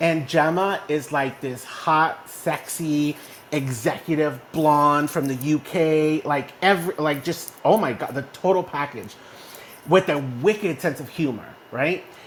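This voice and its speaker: An animated man with a fairly high pitch, plus noticeable background noise. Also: ordinary pitch variation, fairly slow pace. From Texas, small town. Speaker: online community host. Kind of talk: casual chat. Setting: online audio room.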